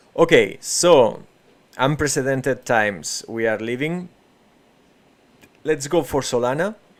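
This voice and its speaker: A man speaks with a Spanish accent at a fairly slow pace. His pitch is medium, with ordinary pitch variation. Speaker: crypto trading streamer. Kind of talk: live market analysis stream. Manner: halting, many fillers and restarts.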